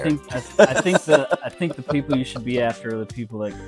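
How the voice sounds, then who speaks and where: A man speaks with an American accent while music plays in the background. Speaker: fish keeper. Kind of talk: casual tour talk.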